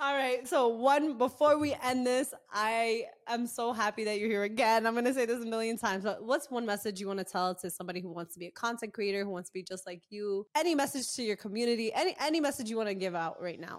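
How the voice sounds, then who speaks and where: A woman speaks at a very fast pace with hardly any pauses, in an animated tone. Her pitch is fairly high, with ordinary pitch variation. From US, Egyptian family. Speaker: podcast host, comedy content creator. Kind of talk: casual interview chat.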